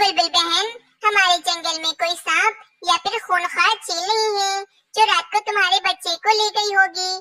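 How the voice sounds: This is a cartoonish character voice with an extremely high pitch. It moves along at a moderate pace.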